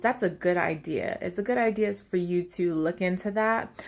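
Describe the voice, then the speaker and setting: A plain, everyday voice with ordinary pitch variation is heard on a very clean recording, the background silent. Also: woman. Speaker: tarot reader. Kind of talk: channeled tarot reading. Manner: casual, filler-heavy.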